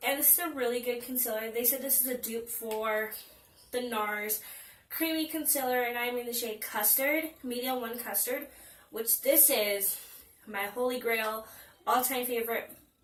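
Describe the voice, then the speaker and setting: A woman's high-pitched voice at a moderate pace, with audible room echo. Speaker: beauty vlogger. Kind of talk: product review. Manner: animated.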